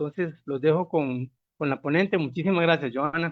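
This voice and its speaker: This man's fairly high voice moves at a moderate pace with ordinary pitch variation. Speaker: university project coordinator, moderator. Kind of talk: speaker introduction.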